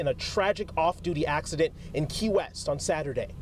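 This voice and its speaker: The pace is moderate, and noticeable background noise can be heard. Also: man. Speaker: TV news reporter and anchor. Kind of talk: TV news reporter delivery, live and packaged stories. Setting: outdoors, on location at news scenes.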